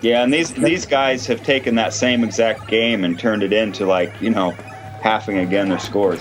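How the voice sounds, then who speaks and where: With music in the background, a man with a fairly low voice talks at a fairly quick pace. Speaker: livestream host, gaming commentator. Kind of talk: casual live-stream chat.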